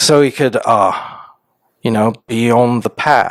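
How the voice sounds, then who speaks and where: A man's voice with ordinary pitch variation. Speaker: YouTuber sharing mental health experiences. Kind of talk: storytelling about own childhood, told in third person.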